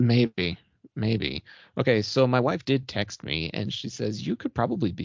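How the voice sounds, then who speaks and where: At a fairly slow pace, the speaker uses lively intonation with vocal fry in the voice. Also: man. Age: 30s. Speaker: podcast host. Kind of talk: casual chat.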